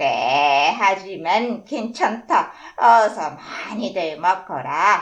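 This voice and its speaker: Putting on a character voice, a woman talks at a very slow pace from a medium pitch, her pitch swinging very widely. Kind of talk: children's story reading.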